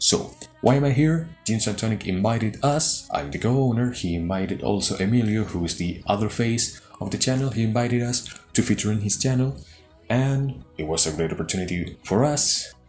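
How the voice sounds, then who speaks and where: A man in a Spanish accent talks at a fairly quick pace with lively intonation. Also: medium pitch for a man. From Chile. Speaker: YouTube card game channel co-owner. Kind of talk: deck profile presentation. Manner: halting.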